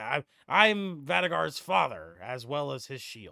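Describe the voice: In a put-on character voice, a man speaks gruffly at a fairly high pitch and a fairly slow pace.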